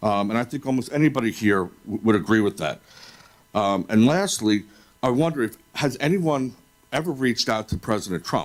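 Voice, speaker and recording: A man speaks in an ordinary speaking voice with an American accent. His pitch is medium, his intonation lively and his pace moderate. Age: 50s. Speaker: public commenter at school board meeting. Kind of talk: public comment.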